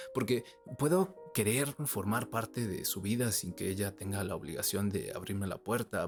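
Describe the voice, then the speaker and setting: He is a man with a normal speaking voice, fairly low in pitch, using ordinary pitch variation at a moderate pace. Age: 20s. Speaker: vlogger. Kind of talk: personal monologue.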